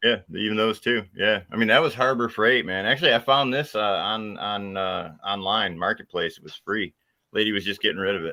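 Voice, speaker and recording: A man talks in a normal speaking voice at a fairly low pitch. His pace is fairly quick, with ordinary pitch variation. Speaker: RC hobby livestream host. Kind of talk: casual chat.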